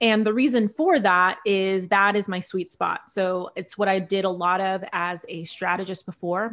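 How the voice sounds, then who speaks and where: A woman talks at a moderate pace in a normal speaking voice, with medium pitch and an American accent. Her intonation stays fairly even. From California, Central Valley (Visalia). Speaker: business founder and strategist. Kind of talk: podcast interview.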